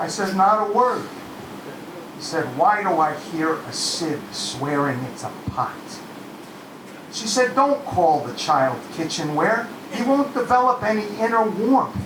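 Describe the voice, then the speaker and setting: A man with a high voice speaks at a fairly slow pace, pausing long and often, his pitch swinging very widely. The room echo is audible, and there is noticeable background noise. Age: 60s. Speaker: open mic performer. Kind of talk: spoken word performance. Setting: stage with audience.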